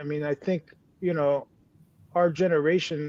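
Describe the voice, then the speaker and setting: A man talks at a moderate pace. His fairly high pitch keeps a fairly even intonation. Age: 50s. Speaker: podcast co-host. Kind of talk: casual chat.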